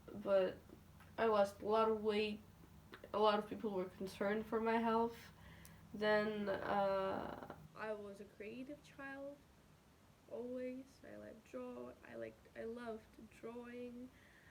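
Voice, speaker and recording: Noticeable background noise surrounds a woman speaking fairly slowly, with a fairly high pitch and ordinary pitch variation. Her loudness swings widely, and she leaves long, frequent pauses. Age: young. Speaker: vlogger. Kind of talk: casual chat. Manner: halting.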